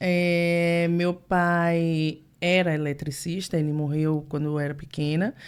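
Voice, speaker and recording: A woman's very slow, monotone voice, fairly low in pitch and flat in intonation. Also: hardly any pauses. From Brazil, Salvador, Bahia. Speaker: translator. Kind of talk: casual chat.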